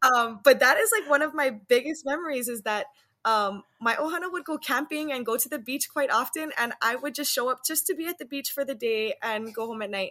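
A woman's high-pitched, raised and projected voice in a Hawaiian accent, with a bright, sharp tone, lively intonation, a fairly quick pace and hardly any pauses. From Hawaii, Waianae on Oahu. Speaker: Hawaiian language teacher. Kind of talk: casual interview chat.

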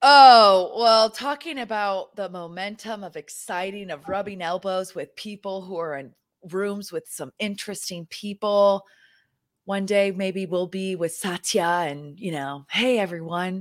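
Very clean and recorded against a silent background, this animated voice with an American accent moves at a fairly slow pace with ordinary pitch variation. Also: woman, medium pitch for a woman, big swings in loudness. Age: 20s. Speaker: podcast co-host and company co-founder. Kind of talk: casual chat.

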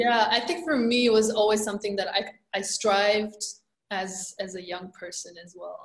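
Somewhat breathy and at a medium pitch, a woman speaks at a moderate pace with ordinary pitch variation. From Romania. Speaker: energy healer and empowerment coach. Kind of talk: interview.

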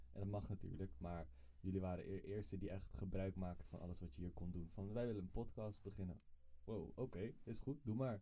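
A man talks at a fairly quick pace with lively intonation. His pitch is very deep and low, and his tone is dark and mellow. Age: 20s. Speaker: guest. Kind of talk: interview.

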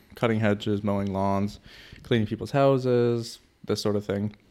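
A man's fairly low voice with a Canadian accent. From Canada. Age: 20s. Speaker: podcast co-host and entrepreneur. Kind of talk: casual chat. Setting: office.

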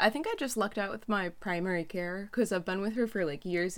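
Speaking at a medium pitch, a woman uses a plain, everyday voice with ordinary pitch variation. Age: young. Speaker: podcast co-host. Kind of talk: casual chat. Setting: remote call.

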